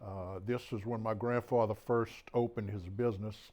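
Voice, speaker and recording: A man with a Mississippi Gulf Coast accent, medium pitch and fairly even intonation at a fairly slow pace, on a very clean recording with a silent background. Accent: Southern US (Mississippi Gulf Coast). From US South, Bay Saint Louis, Mississippi. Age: 70s. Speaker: author and local historian. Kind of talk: public talk. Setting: talk to an audience in a historic house. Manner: hesitant, many fillers; too quiet for the back of the room.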